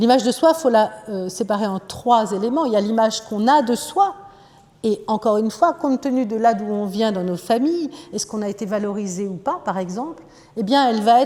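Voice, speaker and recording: Lively intonation carries a fairly quick pace through noticeable background noise. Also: woman, fairly high pitch for a woman. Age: 60s. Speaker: psychoanalyst. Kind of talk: lecture. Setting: conference hall with audience.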